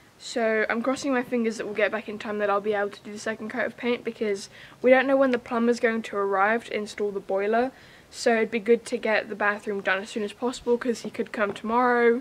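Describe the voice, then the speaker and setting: Very fast, flat, monotone speech from a woman. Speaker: home renovation vlogger. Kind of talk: casual vlog chat. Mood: cheerful, a bit squinting. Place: farm. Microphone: camera far.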